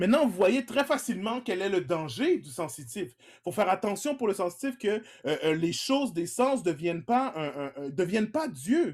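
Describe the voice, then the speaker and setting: In a very clean recording with a silent background, a man with a high pitch talks at a moderate pace, his voice making very wide pitch swings. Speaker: pastor. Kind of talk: sermon. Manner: halting, many repetitions and fillers.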